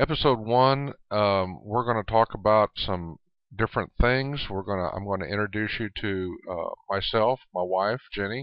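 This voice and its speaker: A man with an American accent, fairly low pitch, ordinary pitch variation, and a moderate pace. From US South, Rio Grande Valley, Texas. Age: 60s. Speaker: real estate agent and radio host. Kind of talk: podcast monologue. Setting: studio. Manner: halting.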